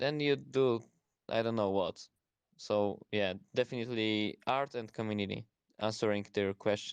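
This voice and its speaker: A man with a Polish accent speaks at a moderate pace in a fairly low pitch with ordinary pitch variation, the sound dry and close with no echo. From Poland. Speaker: student. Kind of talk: casual chat. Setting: online audio space. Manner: halting.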